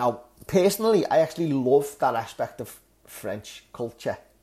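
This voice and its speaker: With a Liverpool accent and a dark, mellow tone, a man swings very widely in pitch on a very clean recording with a silent background. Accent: Scouse (Liverpool). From northern England, Liverpool. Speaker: English teacher and podcast host. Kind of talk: language lesson podcast.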